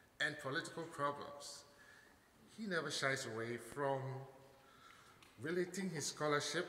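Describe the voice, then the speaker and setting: A man speaks at a fairly slow pace with ordinary pitch variation, his voice carrying audible room echo over light background noise. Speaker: speaker. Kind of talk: formal introduction speech. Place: hall. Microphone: podium.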